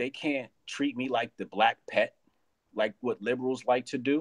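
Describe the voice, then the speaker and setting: A man speaks in an ordinary speaking voice at a medium pitch. The sound is dry and close, with no echo. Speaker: comedian and conservative commentator. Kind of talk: casual live-stream interview.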